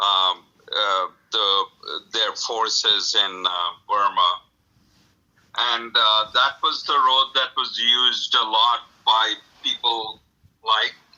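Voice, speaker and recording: Speaking with a Bengali accent, a man moves at a very slow pace with long, frequent pauses. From India, Calcutta (West Bengal). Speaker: author. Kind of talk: interview. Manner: hesitant, many fillers.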